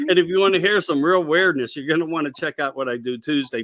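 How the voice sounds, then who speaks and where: A fairly high-pitched man with a Pennsylvania accent at a fairly quick pace. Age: old. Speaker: radio show host. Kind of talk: casual interview chat. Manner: rambling animated.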